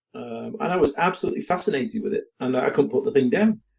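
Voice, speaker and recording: A man with an English accent, high pitch, very wide pitch swings and a fairly quick pace. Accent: English accent, still holding on. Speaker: miniatures company owner. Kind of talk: podcast interview.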